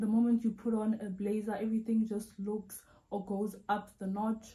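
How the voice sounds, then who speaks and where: A woman with a South African accent speaks at a moderate pace in a fairly high, somewhat breathy voice, dark and mellow in tone, with monotone, flat intonation. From South Africa, Vaal Triangle south of Johannesburg. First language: Sotho. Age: 20s. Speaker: YouTuber. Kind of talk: Q&A video monologue. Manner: casual, chatty.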